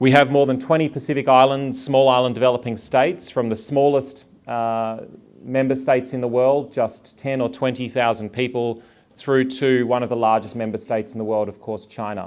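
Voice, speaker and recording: With an Australian accent, a man speaks at a moderate pace. His intonation stays fairly even. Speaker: public health official. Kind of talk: conference talk.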